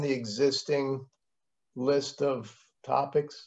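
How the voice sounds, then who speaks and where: Somewhat breathy, a man speaks against a quiet background. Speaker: entrepreneur and member. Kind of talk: casual Q&A. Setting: video call. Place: home room. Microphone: video call.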